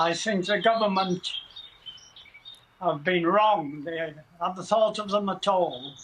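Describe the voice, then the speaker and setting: A man with high pitch and ordinary pitch variation speaks at a fairly slow pace. He leaves long, frequent pauses, and noticeable background noise can be heard. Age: 90s. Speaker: war veteran. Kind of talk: TV interview.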